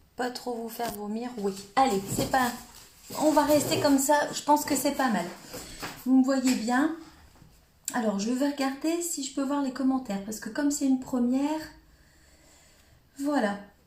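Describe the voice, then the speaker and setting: A woman with a high pitch talks at a fairly slow pace, leaving long, frequent pauses. There is audible room echo and noticeable background noise. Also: ordinary pitch variation. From northern France, Cambrésis. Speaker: crafting demonstrator. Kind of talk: live stream tutorial. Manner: hesitant, many filler words.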